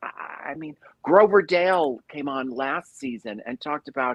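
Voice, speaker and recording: A woman speaks in an animated tone at a moderate pace. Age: 60s. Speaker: cabaret singer and show host. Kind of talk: casual chat. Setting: live stream.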